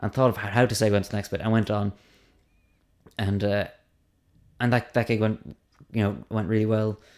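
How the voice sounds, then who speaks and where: Delivery is fairly quick but broken by long, frequent pauses, with monotone, flat intonation. The recording is very clean, with a silent background. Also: man, fairly low pitch for a man. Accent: Cork. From Ireland, Cork. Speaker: stand-up comedian. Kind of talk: casual interview.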